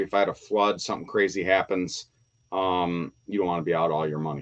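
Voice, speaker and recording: This man speaks at a very fast pace. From Windsor, Ontario, Canada. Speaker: toy collector YouTuber. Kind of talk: live stream chat. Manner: animated.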